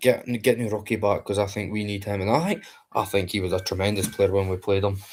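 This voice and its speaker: Quiet and somewhat breathy, a man with a Scottish accent speaks very fast at a fairly low pitch with fairly even intonation. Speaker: football fan streamer. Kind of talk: live match watchalong chat. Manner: quiet, keeping voice down.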